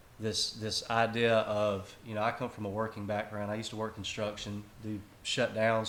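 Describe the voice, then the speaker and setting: A man's fairly low voice at a moderate pace, with a Southern US accent. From South Carolina. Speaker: country singer-songwriter. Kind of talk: casual interview. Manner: relaxed, casual.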